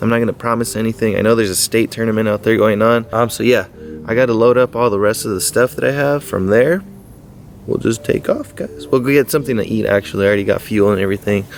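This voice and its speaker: A man mumbles at a very fast pace in a medium pitch with ordinary pitch variation, while music plays in the background. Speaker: fishing vlogger. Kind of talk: casual vlog. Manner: mumbling.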